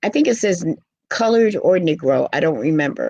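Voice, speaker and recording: A woman with an American accent has an unremarkable speaking voice and lively intonation. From New York, Harlem. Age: 60s. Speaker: dancer and poet. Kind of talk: interview.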